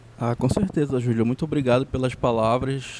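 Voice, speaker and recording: Noticeable background noise runs under a man talking. His pitch is medium, with ordinary pitch variation. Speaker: musician. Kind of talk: interview. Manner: halting, many repetitions.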